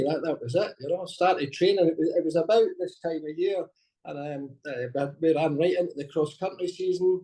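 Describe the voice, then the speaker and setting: Speaking at a fairly quick pace in a Scottish accent, a man has a fairly high pitch and a dark, mellow tone. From Scotland. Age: 60s. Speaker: masters track athlete. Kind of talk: interview.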